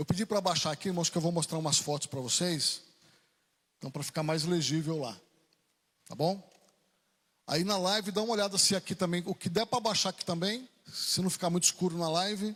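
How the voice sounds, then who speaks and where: Pitched high, this man talks at a fairly quick pace with ordinary pitch variation. He leaves long, frequent pauses. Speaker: pastor. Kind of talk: sermon. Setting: church. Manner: soft-spoken.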